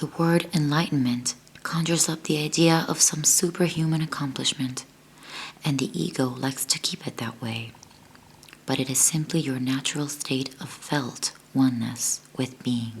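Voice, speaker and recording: Soft-spoken whispering comes at a moderate pace. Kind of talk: book reading aloud. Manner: soft-spoken, almost whispering.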